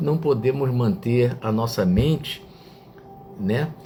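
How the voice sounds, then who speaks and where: A man talks very slowly amid noticeable background noise. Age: 60s. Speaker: online reflection show host. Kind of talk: reflective talk to live chat viewers. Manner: hesitant, with fillers.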